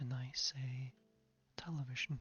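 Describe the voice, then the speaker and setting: A soft-spoken man, fairly high-pitched and very slow, with music in the background. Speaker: ASMR creator. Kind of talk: ASMR gaming commentary.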